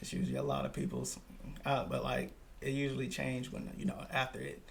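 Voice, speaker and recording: The speech rushes by at a very fast pace amid audible room echo. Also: man. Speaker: podcast host. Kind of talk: casual chat.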